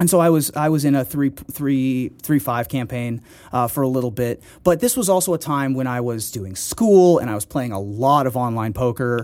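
A man with an American accent talks at a moderate pace in an ordinary speaking voice, with medium pitch and ordinary pitch variation. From Ohio, US Midwest. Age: 30s. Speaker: poker player and comedian. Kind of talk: interview.

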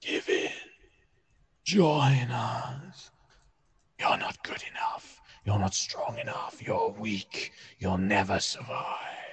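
A man in a put-on character voice whispers quietly and raspily, very slowly, with long, frequent pauses. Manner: hushed, whispering, menacing.

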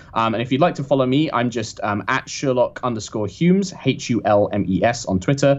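This man has a British accent, a medium pitch and lively intonation. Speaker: professional Dungeon Master. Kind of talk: casual interview chat. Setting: phone call.

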